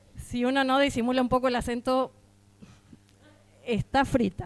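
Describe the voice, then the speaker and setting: This is a woman speaking. Her pace is moderate. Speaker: housing rights activist. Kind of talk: conference talk. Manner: hesitant fillers.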